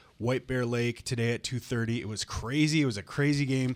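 Speaking at a fairly quick pace, a man uses a normal speaking voice with an American accent. His pitch is medium and his intonation fairly even. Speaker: radio co-host. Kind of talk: casual chat. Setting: studio.

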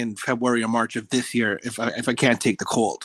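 The background is quiet, with a dry, close sound and no echo. A man speaks at a very fast pace. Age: 40s. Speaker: travel enthusiast, resort loyalty member. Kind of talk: interview. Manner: enthusiastic.

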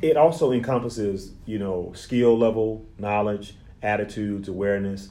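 A man's fairly low voice with a dark, mellow tone, ordinary pitch variation, a moderate pace and audible room echo. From Louisiana, Lake Charles. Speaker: therapist. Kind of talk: interview.

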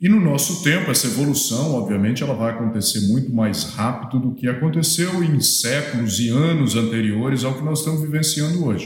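Over noticeable background noise and audible room echo, a man talks at a fairly quick pace with hardly any pauses, a medium pitch and ordinary pitch variation. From Minas Gerais, Brazil. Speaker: agronomy professor. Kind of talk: lecture.

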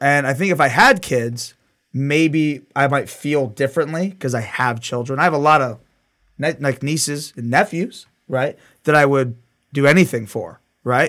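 This man has an unremarkable speaking voice, with an American accent, a fairly high pitch, ordinary pitch variation and a moderate pace, on a very clean recording with a silent background. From US. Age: 30s. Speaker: gunsmith. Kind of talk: casual chat; tutorial.

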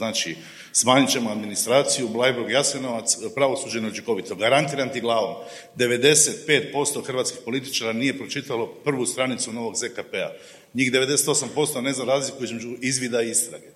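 Over noticeable background noise, a man talks at a moderate pace with a medium pitch. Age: 50s. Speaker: TV journalist. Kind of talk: panel discussion. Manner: animated.

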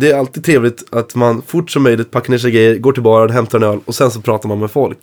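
A man speaks in a normal speaking voice at a medium pitch, with hardly any pauses. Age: 20s. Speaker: blues guitarist. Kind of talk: casual chat.

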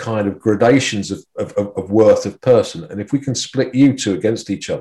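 A man talks in a dark, mellow tone that is somewhat breathy. His pitch varies in an ordinary way. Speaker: psychiatry professor. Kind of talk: interview. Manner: halting, many repetitions.

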